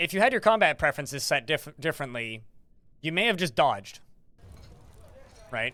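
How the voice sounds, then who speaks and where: At a fairly quick pace, a man speaks with a fairly high pitch. His pitch swings very widely. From Canada. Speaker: video game streamer. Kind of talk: live gameplay stream chat. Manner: fast.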